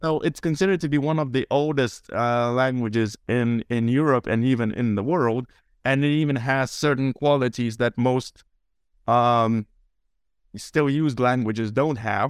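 With a Lithuanian accent, a man of medium pitch and ordinary pitch variation speaks at a moderate pace, his loudness very even, in a dry, close sound with no echo. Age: 20s. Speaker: translator. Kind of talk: casual chat.

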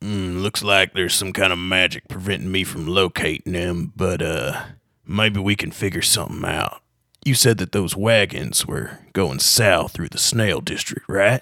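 A man speaks in a raspy, put-on character voice with a very deep, low pitch. He talks at a moderate pace. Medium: actual play. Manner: blunt, cursing.

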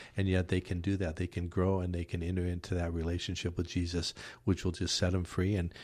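A man speaks at a fairly quick pace in a very deep, low voice with a dark, mellow tone. His delivery is monotone and flat, and somewhat breathy. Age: 60s. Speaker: minister. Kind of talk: casual chat. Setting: studio.

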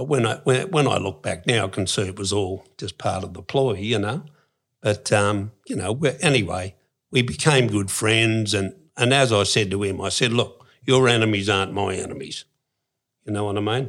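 Speaking at a moderate pace with an Australian accent and ordinary pitch variation, a man comes through on a very clean recording with a silent background. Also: fairly low pitch for a man. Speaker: former criminal. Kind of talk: interview storytelling. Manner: casual.

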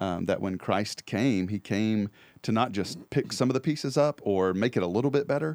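An unremarkable speaking voice from a man, fairly low in pitch, with lively intonation at a moderate pace, dry and close with no echo on a very clean recording with a silent background. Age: 30s. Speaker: church podcast co-host. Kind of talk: casual chat. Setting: studio.

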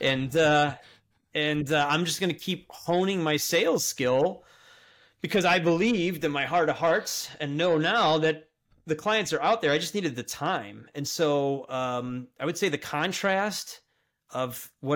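Fairly slow speech with an American accent and ordinary pitch variation, in a very clean recording with a silent background. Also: man. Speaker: operations consultant. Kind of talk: interview. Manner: halting, many fillers.

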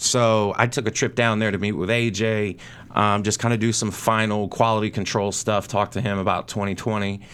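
With an American accent, a man speaks quickly in a fairly low, monotone, flat voice, recorded very cleanly with a silent background. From North Carolina. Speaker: cigar brand manager. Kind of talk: casual chat. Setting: studio.

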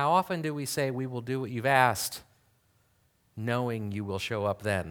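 With lively intonation and a moderate pace, this is an ordinary speaking voice captured in a very clean recording with a silent background. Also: man, medium pitch for a man. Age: 40s. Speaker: pastor. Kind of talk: sermon.

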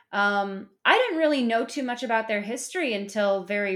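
Speaking with an American accent, a woman keeps a medium pitch, ordinary pitch variation and a fairly quick pace. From US Midwest, Chicago. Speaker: comedian and actor. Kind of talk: casual chat. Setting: at home.

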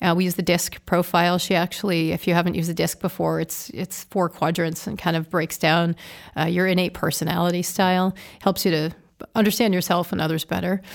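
On a very clean recording with a silent background, a woman with a fairly low pitch speaks in a monotone, flat intonation. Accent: American. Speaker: car dealership executive and public speaker. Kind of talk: interview conversation. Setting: studio.

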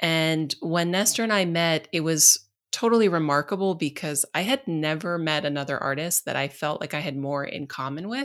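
With an American accent and a plain, everyday voice, a woman talks at a moderate pace, her fairly low pitch showing ordinary variation. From United States. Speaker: artist and researcher. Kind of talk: interview. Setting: video call.

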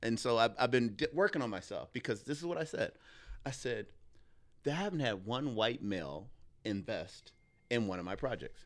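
Very clean and silent in the background, the recording has a speaker with an American accent using very wide pitch swings and long, frequent pauses. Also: man, medium pitch for a man, moderate pace. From Illinois, Joliet near Chicago. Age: 40s. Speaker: filmmaker and comedian. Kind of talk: casual chat. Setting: studio. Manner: animated.

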